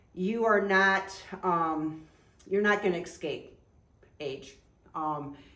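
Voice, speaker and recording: A woman with a medium pitch and a bright, sharp tone speaks at a very slow pace, leaving long, frequent pauses. Her pitch varies in an ordinary way, and audible room echo surrounds her. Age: 60s. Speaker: outdoor adventure vlogger and former fitness trainer. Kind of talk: casual chat. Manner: hesitant, many fillers.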